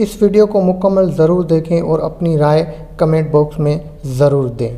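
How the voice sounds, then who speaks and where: High-pitched male speech with noticeable noise in the background. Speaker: voice-over artist. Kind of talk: religious history documentary narration.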